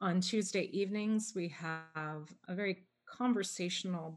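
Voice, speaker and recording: A woman talks in an unremarkable speaking voice, fairly low in pitch. Her pace is fairly slow, her intonation fairly even, and the background is quiet. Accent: Canadian. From Canada, Toronto. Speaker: pastor. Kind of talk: interview.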